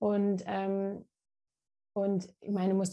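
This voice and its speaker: Over a quiet background, a woman with a medium pitch and a dark, mellow tone speaks at a fairly slow pace. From Munich, Germany. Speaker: naturopath and author. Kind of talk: interview conversation. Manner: halting, many fillers and repetitions.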